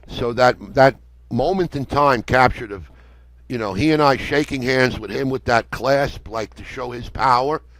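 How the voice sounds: At a moderate pace, the voice has a fairly bright tone and ordinary pitch variation. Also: man, medium pitch for a man.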